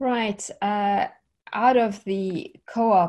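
Against a quiet background, a woman's somewhat breathy voice carries a dark, mellow tone. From South Africa. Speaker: programmer and online tech teacher. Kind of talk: interview.

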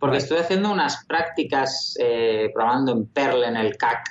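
The man has a plain, everyday voice at a medium pitch. His pace is moderate. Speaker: video game programmer. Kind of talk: interview.

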